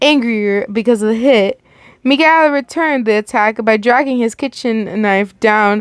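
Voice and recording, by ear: Text is read aloud in a natural voice. The pitch moves in an ordinary way.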